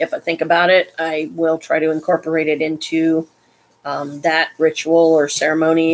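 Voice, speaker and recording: At a moderate pace, a woman talks in a fairly low pitch. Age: 50s. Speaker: live streamer; vlogger. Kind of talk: casual live stream monologue; casual vlog chat. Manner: halting, many fillers. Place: home room. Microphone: webcam.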